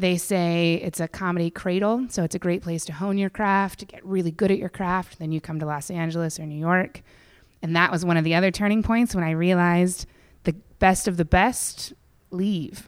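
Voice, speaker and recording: A woman speaks in a normal speaking voice with an American accent, her pitch fairly low. Her intonation stays fairly even at a moderate pace. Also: very clean recording, silent background. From western Pennsylvania (Indiana County). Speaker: comedian. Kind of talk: casual interview chat.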